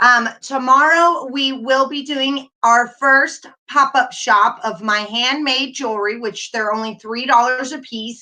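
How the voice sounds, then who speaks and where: A woman's raised, projected voice in an American accent, high-pitched with a bright, sharp tone, fairly slow yet with hardly any pauses, and with big swings in loudness. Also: ordinary pitch variation. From North Carolina. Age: 40s. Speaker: YouTuber. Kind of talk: casual live stream chat.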